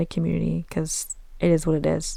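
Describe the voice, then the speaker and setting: Here is a woman with an American accent. Her pitch is fairly low. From US Southeast. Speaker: podcast host. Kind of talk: casual chat. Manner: animated.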